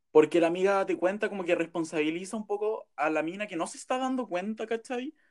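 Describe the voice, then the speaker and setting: A man with a Chilean accent talks at a very fast pace with hardly any pauses, his high-pitched voice carrying lively intonation. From Chile, Pomaire. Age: 20s. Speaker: journalism student. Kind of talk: casual chat.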